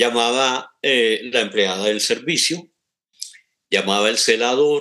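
A man speaks very slowly in a bright, sharp tone. The background is quiet. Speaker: radio presenter. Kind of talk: interview. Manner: halting.

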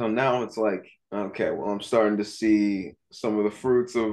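A man with an unremarkable speaking voice talks at a fairly slow pace. His pitch is fairly low and his intonation fairly even. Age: 20s. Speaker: dog trainer and athletic trainer. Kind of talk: casual interview.

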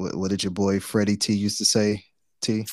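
Very deep and low, a man's voice with vocal fry and an American accent moves at a moderate pace, the sound dry and close with no echo. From Detroit, west side. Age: 40s. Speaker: podcast co-host. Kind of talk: casual chat.

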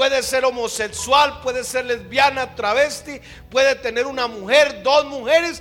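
Over noticeable background noise, a man speaks at an extremely high pitch, fairly slowly, with fairly even intonation. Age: 50s. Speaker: pastor. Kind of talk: sermon. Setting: church.

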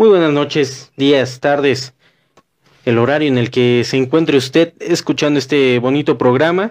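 A man with a fairly high pitch speaks fairly slowly in an unremarkable speaking voice. His loudness is very even, and his pitch varies in an ordinary way. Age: 20s. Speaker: podcast host. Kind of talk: casual chat.

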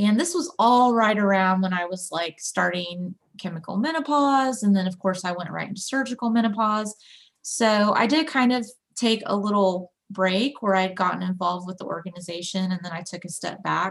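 The woman's voice is somewhat breathy, and her pitch shifts in an ordinary way. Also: medium pitch for a woman, moderate pace. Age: 30s. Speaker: peer support specialist and graphic designer. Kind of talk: casual interview.

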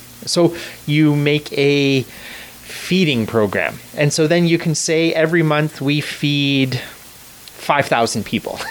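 A man with a fairly high voice speaks very slowly at very even loudness, with noticeable background noise behind him. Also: ordinary pitch variation. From Canada. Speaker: Salvation Army officer. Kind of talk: interview. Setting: studio.

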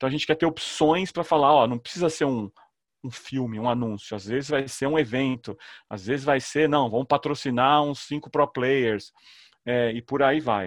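Quiet background, a man's normal speaking voice at medium pitch, moderate pace and ordinary pitch variation. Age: 40s. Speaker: startup founder and CEO. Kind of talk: casual interview chat.

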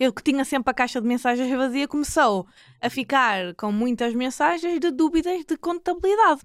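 In a northern Portuguese accent, a high-pitched woman speaks at a moderate pace with lively intonation, the sound dry and close with no echo on a very clean recording with a silent background. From northern Portugal, Porto area (Maia). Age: 20s. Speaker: accountant. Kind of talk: casual interview. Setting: studio.

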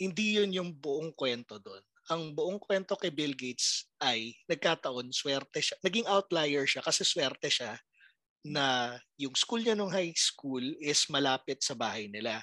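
A man's fairly high, bright, sharp voice at a fairly slow pace, with a dry, close sound and no echo. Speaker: podcaster. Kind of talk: casual chat.

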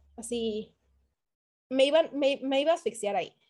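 Here a woman speaks at a high pitch in an animated tone. Her pace is moderate. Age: 30s. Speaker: podcast co-host. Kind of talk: casual chat.

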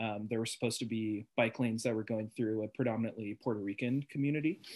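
In a plain, everyday voice, a man with an American accent and a medium pitch speaks with fairly even intonation, in a dry, close sound with no echo. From Portland, Oregon. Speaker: podcast guest. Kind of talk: casual chat.

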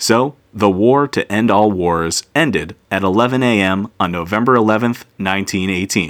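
An unremarkable speaking voice from a man, fairly low in pitch with ordinary pitch variation, at a moderate pace with hardly any pauses, in a dry, close sound with no echo on a very clean recording with a silent background. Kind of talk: history documentary narration, scripted daily-history segment. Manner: measured, steady and formal, like an authoritative narrator; clear, even-paced, serious in tone.

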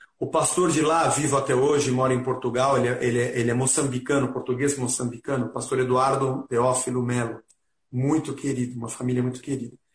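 A man talks fairly quickly at a medium pitch. His delivery is monotone and flat, and somewhat breathy. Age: 50s. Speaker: rock musician. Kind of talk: casual interview.

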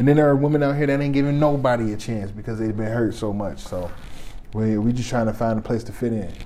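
Very fast speech from a man with an American accent, medium pitch and ordinary pitch variation, with audible room echo and noticeable background noise. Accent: Detroit, noticed by others. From Detroit, Michigan. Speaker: podcaster. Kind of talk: casual chat.

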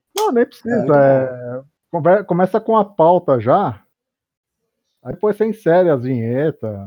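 A man with a fairly high voice speaks at a fairly slow pace, leaving long, frequent pauses. His pitch swings very widely. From São Paulo, Brazil. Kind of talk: casual chat.

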